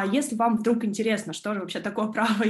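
A woman talks at a very fast pace in a fairly high pitch. The background is quiet. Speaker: law student and junior lawyer. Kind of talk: online presentation. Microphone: video call.

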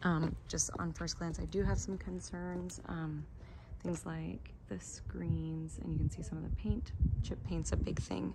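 A woman at a fairly slow pace amid loud background noise. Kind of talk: casual walkthrough narration to a colleague. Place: street. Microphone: phone near.

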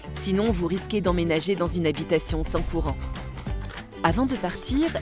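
Music runs underneath as a woman talks at a moderate pace. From France. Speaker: voice actor. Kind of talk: corporate explainer narration.

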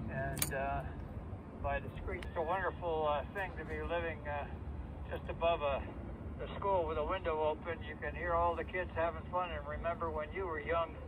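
Male voice, dry with no echo, over noticeable background noise. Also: moderate pace. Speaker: remote ham radio operator. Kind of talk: casual radio chat. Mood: warm, pleased. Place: home room. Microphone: two way radio.

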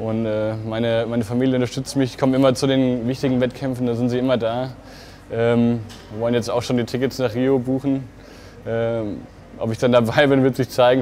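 This man talks at a fairly quick pace in a monotone, flat intonation. Light background noise sits behind him. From Germany, Fulda (Hesse); Hesse. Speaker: competitive swimmer. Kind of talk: interview answers to camera. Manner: hesitant with fillers. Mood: relaxed, friendly, smiling. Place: hall. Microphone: lapel.

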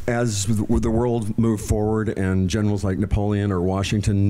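In a dark, mellow tone, a man with an American accent speaks at a moderate pace and fairly low pitch with monotone, flat intonation. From New Mexico, US. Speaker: horse breeder; guest. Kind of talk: public interview. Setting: museum stage with audience. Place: hall. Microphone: handheld.

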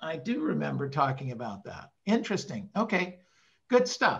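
Against a quiet background, a man uses a raised, projected voice with a bright, sharp tone. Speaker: real estate sales coach. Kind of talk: group coaching call. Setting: video call. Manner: animated. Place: home room. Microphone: video call.

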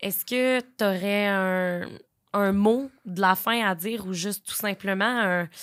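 Fairly even intonation against a quiet background. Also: woman. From Quebec, Beauce; Quebec. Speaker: podcast host. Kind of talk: casual interview. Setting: studio. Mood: gentle, empathetic. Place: studio. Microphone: studio mic.

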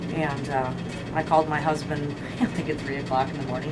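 Over loud background noise, a woman speaks. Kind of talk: storytelling tour guide talk. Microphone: camera far.

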